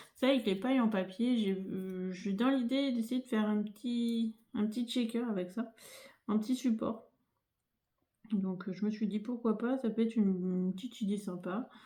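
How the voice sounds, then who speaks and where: Soft-spoken delivery at a moderate pace, with a dark, mellow tone and fairly even intonation. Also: woman. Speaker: crafting youtuber. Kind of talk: tutorial. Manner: hesitant, many fillers. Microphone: no dedicated microphone, may sound quiet.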